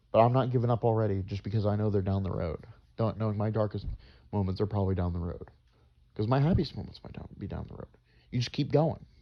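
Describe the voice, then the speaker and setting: A man with an American accent, fairly low in pitch, talking at a very fast pace with ordinary pitch variation and big swings in loudness. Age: 20s. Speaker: vlogger. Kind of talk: personal vlog monologue. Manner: stuttering, halting; repetitive, earnest.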